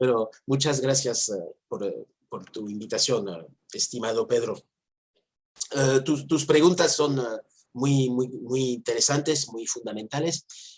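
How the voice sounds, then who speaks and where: A man's fairly high voice in a strong French accent, at a fairly slow pace with long, frequent pauses and ordinary pitch variation. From France. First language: French (speaking Spanish). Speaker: philosopher and theologian. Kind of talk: interview. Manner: halting, searching for words.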